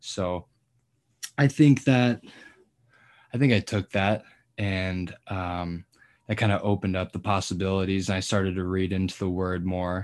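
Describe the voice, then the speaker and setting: A moderate pace with an American accent, ordinary pitch variation and long, frequent pauses, against a quiet background. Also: man, very deep, low pitch for a man. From Colorado. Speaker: college football player. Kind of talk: casual interview.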